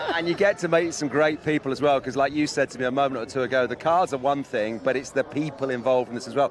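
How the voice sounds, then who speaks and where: A man's fairly high voice at a very fast pace, with hardly any pauses and ordinary pitch variation, over noticeable background noise. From England. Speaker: motorsport event presenter. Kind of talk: live broadcast interview.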